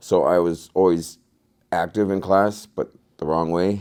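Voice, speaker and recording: At a fairly slow pace, a man talks in a very deep, low pitch with a dark, mellow tone. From Alaska, Anchorage. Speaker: former addict in recovery. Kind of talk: testimony. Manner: halting.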